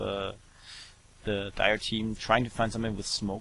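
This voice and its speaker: Fairly low in pitch, a man speaks with a German accent. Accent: German accent, noticeable. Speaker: esports commentator. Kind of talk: live commentary. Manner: hesitant, many fillers.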